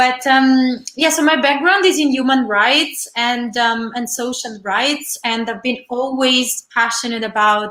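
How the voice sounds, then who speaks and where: In an Italian accent, a woman speaks at a high pitch. Her pitch variation is ordinary. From Italy, Rome. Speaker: holistic teacher and energy healer. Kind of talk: interview.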